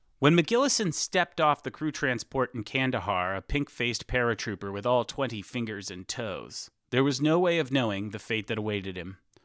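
A man with an ordinary speaking voice and medium pitch talks at a fairly quick pace with lively intonation and hardly any pauses, on a very clean recording with a silent background and a dry, close sound with no echo. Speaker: author reading own story. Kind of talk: audiobook-style reading aloud of a comic satirical story.

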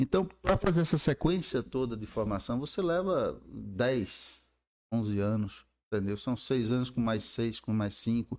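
A man's medium-pitched voice with lively intonation, an ordinary speaking voice. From Brazil, Campina Grande, Paraíba. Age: 50s. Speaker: urologist and medical professor. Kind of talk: casual interview.

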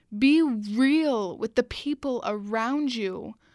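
In a very clean recording with a silent background, a woman speaks in a high pitch with ordinary pitch variation, the sound dry and close with no echo. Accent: Canadian. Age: 20s. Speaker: podcast host and marketing entrepreneur. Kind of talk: solo podcast monologue. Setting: studio.

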